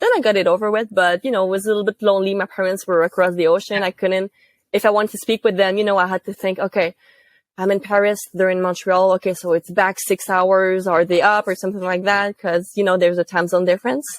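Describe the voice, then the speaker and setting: A woman speaks very fast in a Quebec accent. Her intonation stays monotone and flat. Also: medium pitch for a woman, dry, close sound with no echo, very clean recording, silent background. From Quebec, Gatineau. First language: French. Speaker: university student intern. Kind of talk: interview. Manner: casual, with fillers.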